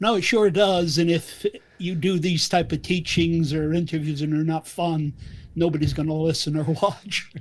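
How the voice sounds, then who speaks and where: Here a man with a high pitch speaks at a moderate pace and with fairly even intonation. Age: 70s. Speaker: physician and lipidologist. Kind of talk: interview.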